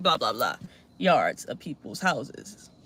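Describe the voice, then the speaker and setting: Speaking with a Baltimore accent, a woman sounds animated. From Baltimore, Maryland, US. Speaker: political commentary streamer. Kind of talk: live stream reaction and commentary. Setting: live stream. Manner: casual, animated.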